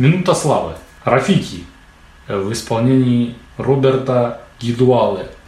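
A man with lively intonation at a very slow pace, with long, frequent pauses, noticeable background noise and audible room echo. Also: medium pitch for a man. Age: adult. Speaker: podcast host. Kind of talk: casual chat. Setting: studio.

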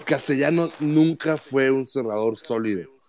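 A man's pitch rises and falls in an ordinary way while noticeable background noise is present. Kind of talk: casual chat. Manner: animated.

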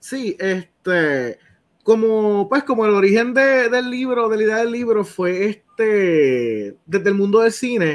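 Against a quiet background, a man speaks very slowly in a high pitch. His pitch varies in an ordinary way. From Puerto Rico, Salinas. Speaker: writer and anthology editor. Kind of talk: interview on a live show.

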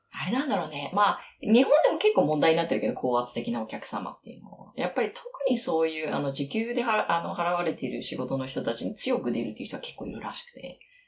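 The speech comes at a very fast pace with hardly any pauses, over noticeable background noise. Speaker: English-learning conversation partner. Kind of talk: casual chat.

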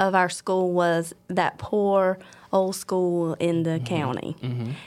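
Speaking with a Southern US accent, a woman of medium pitch takes a fairly slow pace in a very clean recording with a silent background. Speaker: elementary school principal. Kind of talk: casual interview.

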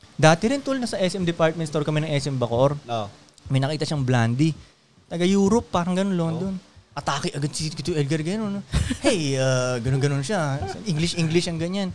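This man talks at a fairly quick pace with a fairly high pitch, an animated tone and lively intonation. Noticeable background noise sits behind him. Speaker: podcast host. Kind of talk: casual chat.

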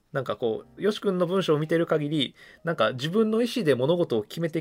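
Very fast and lively in intonation, a man's fairly high voice comes through a very clean recording with a silent background. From Kumamoto, Japan. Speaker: podcast host. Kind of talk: casual chat, reading listener mail.

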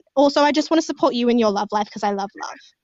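An animated woman with an Australian accent speaks with ordinary pitch variation. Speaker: podcast co-host. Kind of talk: casual chat.

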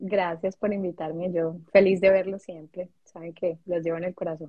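A woman speaks at a moderate pace in a somewhat breathy voice of medium pitch. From Colombia. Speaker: international graduate, HR worker. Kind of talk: casual chat.

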